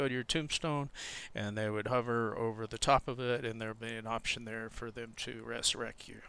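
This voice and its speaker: Soft-spoken and fairly quick, a man talks at a medium pitch in a bright, sharp tone. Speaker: gaming video creator and server admin. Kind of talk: gameplay tutorial. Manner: hesitant, with fillers.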